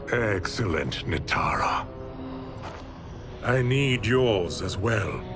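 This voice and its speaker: Against loud music in the background, a man uses a cartoonish character voice at medium pitch and a very slow pace. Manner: cold, imperious.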